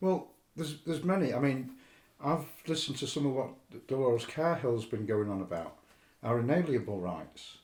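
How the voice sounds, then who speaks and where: Somewhat breathy and delivered at a fairly quick pace, the voice carries lively intonation, with audible room echo around it. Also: man, medium pitch for a man. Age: 50s. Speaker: podcast guest. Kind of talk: casual chat. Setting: studio.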